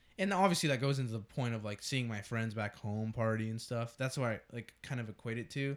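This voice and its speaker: A man with an American accent talks at a fairly quick pace in a normal speaking voice, at medium pitch with ordinary pitch variation. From Texas. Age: young. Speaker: podcast co-host. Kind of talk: casual chat.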